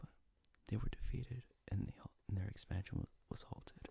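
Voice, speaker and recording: Whispering at a moderate pace. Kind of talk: ASMR history lesson, whispered narration. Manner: soft whispering.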